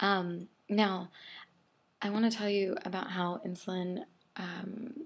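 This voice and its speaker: A woman speaks very slowly in a somewhat breathy voice of medium pitch, with ordinary pitch variation and long, frequent pauses. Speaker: video blogger living with diabetes. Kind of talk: casual video diary explainer. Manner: soft-spoken; hesitant, many fillers.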